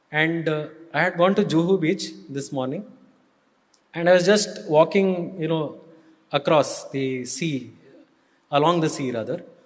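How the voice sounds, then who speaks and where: A man with an Indian accent speaks at a fairly slow pace, his fairly high pitch showing ordinary variation. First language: Kannada. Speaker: spiritual speaker, former student and staff. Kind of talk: devotional talk.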